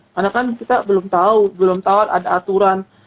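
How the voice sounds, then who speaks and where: Ordinary pitch variation marks a woman's speech at a fairly quick pace. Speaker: seminary-trained church speaker. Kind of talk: online talk show interview. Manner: halting, many repetitions and fillers.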